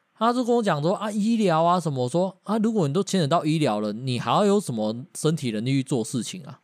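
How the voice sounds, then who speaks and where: A man's fairly high voice with a Taiwanese accent, very wide pitch swings, a fairly quick pace, and hardly any pauses, on a very clean recording with a silent background. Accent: Taiwanese Mandarin. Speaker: podcast co-host. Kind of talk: casual chat.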